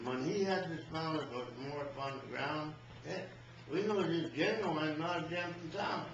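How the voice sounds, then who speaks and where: Noticeable background noise sits behind a man with a fairly high voice. He talks at a moderate pace with ordinary pitch variation. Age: 80s+. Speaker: cowboy. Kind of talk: poetry reading.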